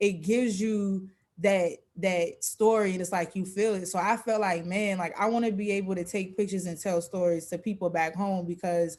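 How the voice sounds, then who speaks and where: A woman with an American accent, medium in pitch, at a moderate pace with fairly even intonation. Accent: Geechee accent, somewhat adapted. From South Carolina (Geechee community). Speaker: photographer. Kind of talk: panel discussion.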